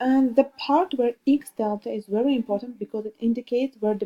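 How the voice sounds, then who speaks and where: In an Armenian accent, a woman talks at a moderate pace with a dark, mellow tone and fairly even intonation. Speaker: student. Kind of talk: tutorial. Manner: halting.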